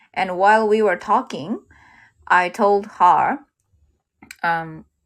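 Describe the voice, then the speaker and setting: A woman talks at a very slow pace with ordinary pitch variation. The recording is very clean, with a silent background. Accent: Japanese. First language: Japanese. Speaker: livestreamer working at a car hire shop. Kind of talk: casual livestream monologue. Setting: livestream. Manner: halting.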